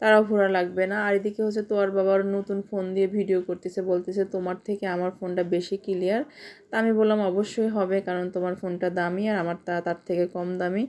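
A woman talks in a medium pitch with monotone, flat intonation. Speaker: family vlogger, mother. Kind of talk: vlog narration.

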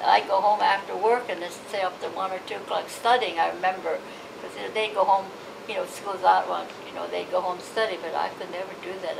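Over noticeable background noise, a woman with an American accent speaks at a very fast pace. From Los Angeles, California. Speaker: oral history interviewee, Japanese American. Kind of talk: oral history interview answer. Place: home room.

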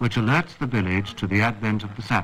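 A man's fairly low-pitched voice. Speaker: documentary narrator. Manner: formal; measured, even-paced.

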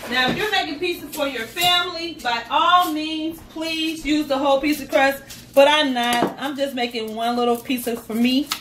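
A woman speaks at a high pitch and a moderate pace, with ordinary pitch variation. She leaves hardly any pauses, and noticeable background noise sits behind her. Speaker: home cooking vlogger. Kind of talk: casual cooking tutorial. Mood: cheerful, chatty. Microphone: phone near.

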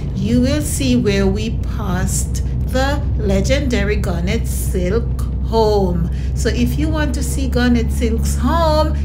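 Music plays behind the speech. A woman talks at a very slow pace. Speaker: vlogger. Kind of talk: casual vlog chat. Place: car.

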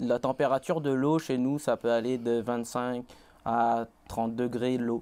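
The man's tone is dark and mellow, his intonation monotone and flat. He talks at a very slow pace with very even loudness. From Réunion, Saint-Pierre; Réunion. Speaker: college student; interview guest. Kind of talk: interview. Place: studio. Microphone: lapel.

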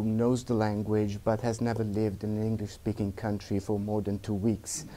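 In a dark, mellow tone, a man speaks at a fairly low pitch with monotone, flat intonation. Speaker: guest lecturer. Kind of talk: lecture. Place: classroom.

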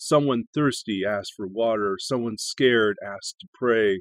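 Here a man speaks at a fairly slow pace. The sound is dry with no echo, and the background is quiet. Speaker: poetry channel host and reader. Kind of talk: poem reading. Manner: measured, expressive reading aloud. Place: home room. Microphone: webcam.

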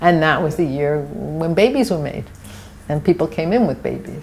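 Over light background noise, a woman talks in a New York accent. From New York City, Brooklyn (Borough Park); New York City. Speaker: architect, oral history interviewee; interviewee. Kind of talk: oral history interview. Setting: at her home. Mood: warm, reflective. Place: home room. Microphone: lapel.

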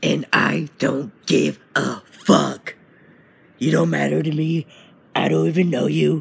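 Using a put-on character voice, a man talks in a raspy, very deep register at a fairly slow pace. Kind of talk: comedic parody voice-over dub. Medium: dub. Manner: crude, profane.

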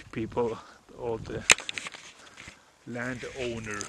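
A man speaks amid loud background noise. The sound is dry, with no echo. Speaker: urban explorer vlogger. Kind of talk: casual vlog chat. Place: open country. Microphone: phone near.

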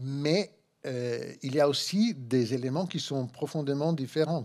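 The setting is quiet. A man talks with a dark, mellow tone. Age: 60s. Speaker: philosophy professor. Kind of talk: conference lecture. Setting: conference room with audience. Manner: halting, many hesitations. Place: hall. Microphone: podium.

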